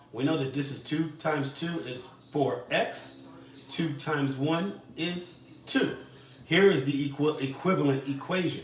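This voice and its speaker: A man's fairly high voice at a fairly slow pace, with fairly even intonation and audible room echo. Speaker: math teacher. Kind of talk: tutorial. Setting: recorded video lesson for distance learning.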